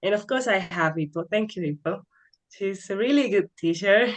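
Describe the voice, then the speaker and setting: Moderately paced speech in a Spanish accent. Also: woman. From Colombia. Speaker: English learner. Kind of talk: interview.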